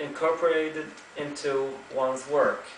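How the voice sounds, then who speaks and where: A man's monotone, flat delivery in an Arabic accent, with noticeable background noise and audible room echo. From Kuwait. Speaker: student giving a class speech. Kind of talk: prepared speech. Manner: halting, with self-corrections.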